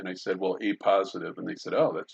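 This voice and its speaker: This is a man's voice. The sound is dry and close, with no echo. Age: 60s. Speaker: college instructor. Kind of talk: lecture. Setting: recording at home. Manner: halting, many fillers.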